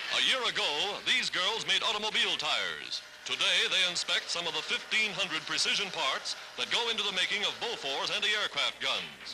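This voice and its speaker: A man talks at a moderate pace with a high pitch and hardly any pauses. Noticeable background noise sits behind him. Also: ordinary pitch variation. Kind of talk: wartime newsreel narration.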